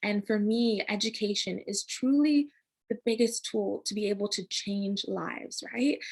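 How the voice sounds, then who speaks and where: A somewhat breathy voice with an American accent, ordinary pitch variation and a fairly slow pace over a quiet background. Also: woman, fairly high pitch for a woman. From United States. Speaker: founder of a digital culture platform. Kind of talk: interview. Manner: animated.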